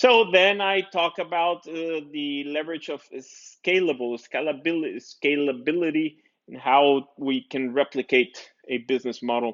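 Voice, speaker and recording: Fairly slow pace with hardly any pauses, ordinary pitch variation and big swings in loudness. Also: man, fairly high pitch for a man. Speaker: business educator. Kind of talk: video update presentation. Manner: halting, many fillers and repeats.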